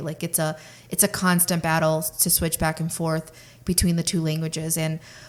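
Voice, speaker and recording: A woman speaks over noticeable background noise. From Russian-speaking family, moved to US at age six. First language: Russian. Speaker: podcast co-host. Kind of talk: casual chat.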